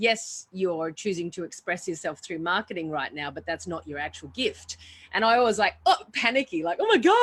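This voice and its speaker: An ordinary speaking voice comes through with lively intonation. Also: woman. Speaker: webinar host, marketing coach. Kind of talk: webinar conversation.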